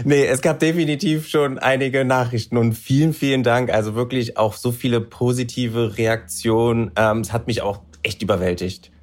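Hardly pausing, a man uses a plain, everyday voice at medium pitch with ordinary pitch variation. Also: moderate pace. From Berlin, Germany. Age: 30s. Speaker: reality TV contestant. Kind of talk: casual chat.

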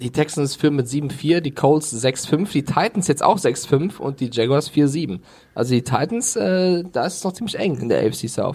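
Speaking at a fairly slow pace, a man with a fairly high pitch and a somewhat breathy voice uses lively intonation. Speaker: NFL podcast co-host. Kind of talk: casual chat. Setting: remote recording over internet.

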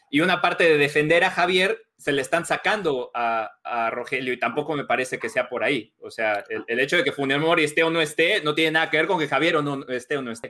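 This man's voice is fairly high in pitch, with ordinary pitch variation. He talks at a fairly quick pace with hardly any pauses. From Mexico. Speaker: sports journalist. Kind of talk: casual chat. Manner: halting.

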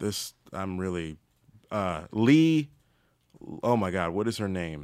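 A man's very deep, low voice with an American accent at a fairly slow pace, on a very clean recording with a silent background. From Maryland. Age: 30s. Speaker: comedian. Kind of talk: casual chat.

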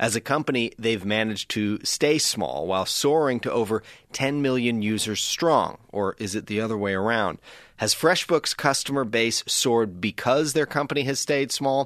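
Against a quiet background, a man with an ordinary speaking voice talks at a moderate pace and medium pitch, with ordinary pitch variation and a dry, close sound with no echo. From Canada, Nova Scotia (Halifax). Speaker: podcast host. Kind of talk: read-out ad. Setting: studio.

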